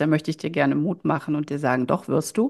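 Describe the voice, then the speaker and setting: Against a quiet background, a woman speaks with a very deep, low pitch. Her pitch variation is ordinary. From Germany, Düsseldorf area. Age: 50s. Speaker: life coach and shaman. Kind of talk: podcast interview.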